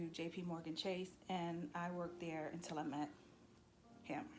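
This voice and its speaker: The speaker has a New York accent. Audible echo fills the room. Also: woman. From New York City. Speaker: vlogger. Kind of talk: casual storytelling to camera. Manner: animated.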